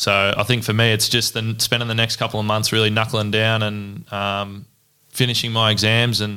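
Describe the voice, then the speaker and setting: In an Australian accent, a man with a fairly low pitch and a bright, sharp tone speaks at a moderate pace on a very clean recording with a silent background. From Australia, Ballarat, Victoria. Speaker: electrical apprentice. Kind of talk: casual interview.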